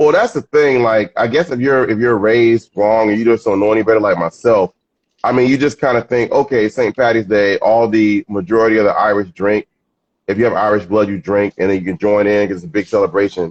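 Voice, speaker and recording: In a dry, close recording with no echo, a man with an ordinary speaking voice talks at medium pitch and a fairly quick pace, using ordinary pitch variation. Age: 60s. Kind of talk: casual chat.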